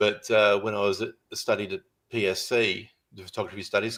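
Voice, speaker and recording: Here a man speaks at a moderate pace in an Australian accent. The recording is very clean and the background silent. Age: 60s. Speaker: photographer. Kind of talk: podcast interview.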